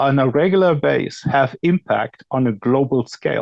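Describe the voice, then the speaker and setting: With a German accent, a man speaks in a fairly high pitch and lively intonation. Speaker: industry expert panelist. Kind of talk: panel discussion.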